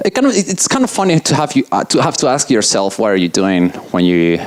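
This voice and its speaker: The speaker talks very fast with an Italian accent over noticeable background noise. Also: man. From Italy. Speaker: software engineer giving a conference talk. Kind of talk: conference talk. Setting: stage with audience. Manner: loud.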